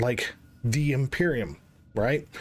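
A man talks at a fairly slow pace in a somewhat breathy voice. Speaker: gaming youtuber. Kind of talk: casual commentary. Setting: screen recording. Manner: animated. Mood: frustrated, ranting.

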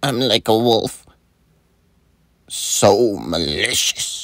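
Using a put-on character voice, a man speaks at a very slow pace with a raspy, medium-pitched voice and lively intonation. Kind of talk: meme voiceover. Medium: voice reel.

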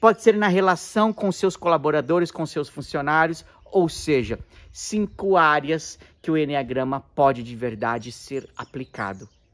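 This man's pitch swings very widely as he keeps a moderate pace against a quiet background. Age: 40s. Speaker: therapist and Enneagram teacher; Enneagram teacher. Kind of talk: video monologue to camera. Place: garden. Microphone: phone near.

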